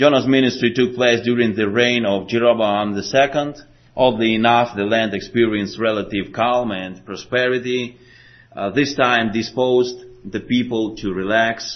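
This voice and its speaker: With a Slavic accent, a man speaks at medium pitch. His pace is moderate and his intonation fairly even. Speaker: preacher. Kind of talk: sermon. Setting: church.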